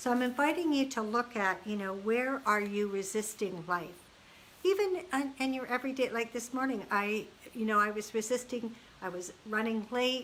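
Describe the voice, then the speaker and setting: A woman with an unremarkable speaking voice, fairly high in pitch, talks at a moderate pace with ordinary pitch variation. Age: 60s. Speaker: life coach. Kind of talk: motivational talk. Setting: Facebook Live video. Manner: casual, conversational.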